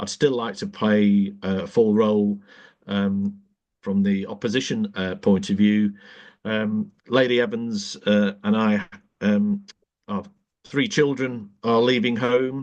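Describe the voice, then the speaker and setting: A man talks very slowly at a fairly low pitch with fairly even intonation. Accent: Manchester. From northern England, South Manchester. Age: 60s. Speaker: politician. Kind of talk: podcast interview. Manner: halting, many fillers.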